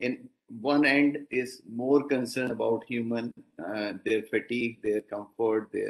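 A man speaks at a fairly slow pace with fairly even intonation. The background is quiet. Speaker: invited lecturer, professor. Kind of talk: lecture. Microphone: video call.

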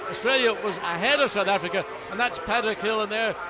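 The speaker uses a raised, projected voice at a fairly quick pace. There is noticeable background noise, and the sound is dry with no echo. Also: man. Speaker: lead race commentator. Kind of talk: sports commentary. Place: booth.

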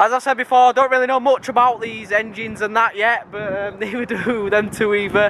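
A man talks at a fairly quick pace. There's noticeable background noise, but the sound is dry with no echo. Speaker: car vlogger. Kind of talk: casual vlog chat. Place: street. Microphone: phone near.

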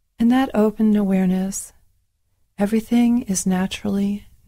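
The voice is somewhat breathy, with a dark, mellow tone, a calm, soothing tone and fairly even intonation. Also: woman. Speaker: meditation teacher. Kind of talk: guided meditation with gentle spoken instructions. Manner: slow, calm and soothing, with long pauses between phrases; soft-spoken, repetitive and hypnotic, gently inviting rather than directing.

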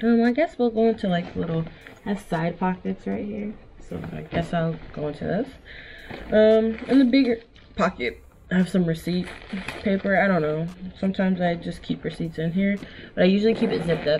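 Over light background noise, a woman talks at a fairly quick pace in an unremarkable speaking voice. Her pitch is medium, and her intonation is lively. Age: 20s. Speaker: vlogger. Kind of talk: casual talk to camera. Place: home room.

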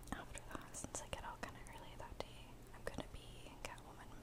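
Moderate pace from a woman. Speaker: ASMR vlogger. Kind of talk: ASMR whisper video, casual talk to camera. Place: home room. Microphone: webcam.

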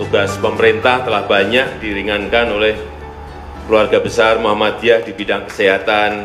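A man's monotone, flat delivery at a moderate pace over clear music in the background. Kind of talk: formal speech. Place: hall. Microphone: podium.

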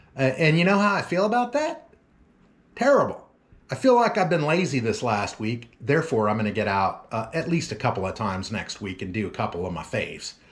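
With an American accent, a man talks at a fairly quick pace in a fairly high, somewhat breathy voice. His pitch swings very widely. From Oklahoma. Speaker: lawn care business owner, vlogger; vlogger. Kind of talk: casual vlog talk to viewers. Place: home room. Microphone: phone near.

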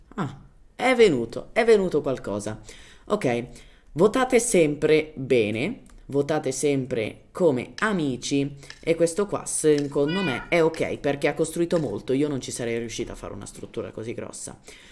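A woman's very deep, low voice at a moderate pace, with very wide pitch swings and big swings in loudness. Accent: non-native. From Germany. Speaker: gaming youtuber. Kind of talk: gameplay tutorial. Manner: casual, hesitant.

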